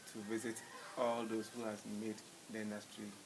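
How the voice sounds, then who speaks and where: Noticeable background noise surrounds the speaker. He is a man with a medium-pitched voice. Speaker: interviewer, mining institute president. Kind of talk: interview questions.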